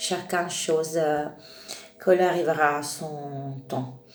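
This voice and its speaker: Through noticeable background noise and audible room echo, a woman speaks in a monotone, flat intonation. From Italy. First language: Italian (speaking French). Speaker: tarot reader. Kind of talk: spiritual talk to camera. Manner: halting, many hesitations.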